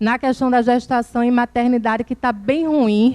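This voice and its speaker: In a northeastern Brazilian accent, a woman talks at a fairly quick pace in a high pitch with fairly even intonation, recorded dry and close with no echo. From Brazil, Northeast (Alagoas). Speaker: government program coordinator. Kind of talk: conference talk. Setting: conference with audience. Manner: informal, conversational.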